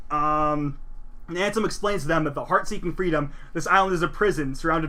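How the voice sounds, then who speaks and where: Very fast, high male speech with a bright, sharp tone and ordinary pitch variation, in audible room echo. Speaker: video game presenter. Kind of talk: slideshow recap lecture. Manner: casual, with fillers and self-corrections.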